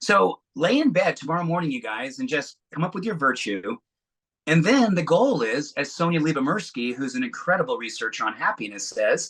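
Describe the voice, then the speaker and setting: Over a quiet background, a man talks at a moderate pace in an animated, bright and sharp tone, his fairly high pitch making very wide swings. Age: 60s. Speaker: wellness speaker. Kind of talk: talk to online audience.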